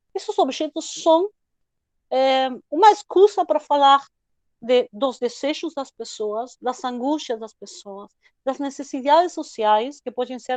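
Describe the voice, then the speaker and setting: Lively intonation at a fairly slow pace, in a dry, close recording with no echo. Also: woman. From Argentina, Buenos Aires. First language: Spanish (speaking Portuguese). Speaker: history professor and researcher. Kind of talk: lecture.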